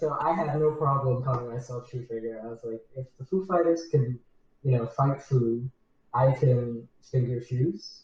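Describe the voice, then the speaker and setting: A man with a medium-pitched, somewhat breathy voice speaks at a moderate pace, his pitch varying in an ordinary way and his loudness swinging widely. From Southern California, Mexican family. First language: Spanish. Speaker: musician. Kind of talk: interview.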